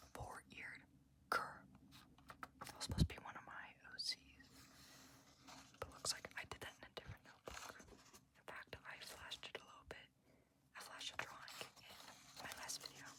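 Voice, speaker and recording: Whispering in a relaxed tone at a moderate pace, the speaker leaves long, frequent pauses over noticeable background noise. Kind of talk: ASMR whispered showcase of own art books. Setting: low-quality ASMR recording. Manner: whispering, relaxed.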